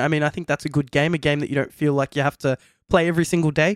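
At a very fast pace, a man with an Australian accent speaks in a fairly high pitch with fairly even intonation, the very clean recording giving a dry, close sound with no echo and a silent background. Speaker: podcast host. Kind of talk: casual chat.

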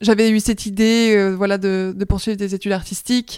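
At a moderate pace, a woman talks in a flat monotone on a very clean recording with a silent background. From Switzerland, near Lausanne (Vaud). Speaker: comics student and illustrator. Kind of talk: casual interview.

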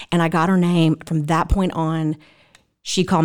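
This woman has a Southern US accent. Her pitch is fairly low. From South Mississippi. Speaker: church member and volunteer. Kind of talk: podcast interview.

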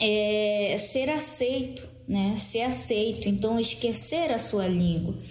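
Audible room echo surrounds a woman with a fairly high pitch who speaks at a very slow pace. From Brazil, Amazonas (Maués, Lower Amazon). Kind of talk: interview. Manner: halting, many repetitions.

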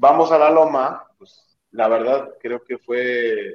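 This man has a plain, everyday voice at a medium pitch. His pitch rises and falls in an ordinary way. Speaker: CrossFit athlete. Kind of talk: casual chat.

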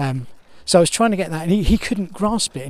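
Lively intonation marks a man talking at a very fast pace. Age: 50s. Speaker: podcaster. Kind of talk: casual walking monologue. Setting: outdoors on a walk with dog. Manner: rambling, hesitant with fillers.

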